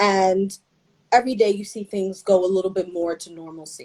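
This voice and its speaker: A woman's dark, mellow voice at medium pitch with a New York accent, dry and close with no echo. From New York, the Bronx. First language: Spanish. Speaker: brand founder. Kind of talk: interview. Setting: video call.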